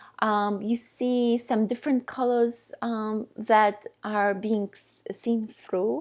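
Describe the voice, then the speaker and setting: A woman's fairly high voice at a very slow pace, with fairly even intonation, on a very clean recording with a silent background. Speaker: art teacher. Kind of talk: instructional voice-over narration. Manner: calm, soothing.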